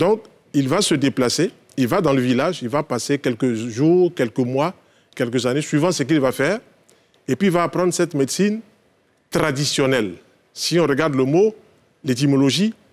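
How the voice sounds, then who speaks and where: With long, frequent pauses, a man with a fairly high pitch speaks at a moderate pace, with ordinary pitch variation and very even loudness. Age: 60s. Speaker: naturopath. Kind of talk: TV talk show discussion. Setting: TV studio. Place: studio. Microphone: lapel.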